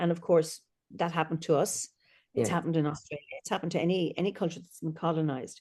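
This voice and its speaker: A dark, mellow tone with an Irish accent. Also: woman. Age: 60s. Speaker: celebrant and storyteller. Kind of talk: podcast interview answer.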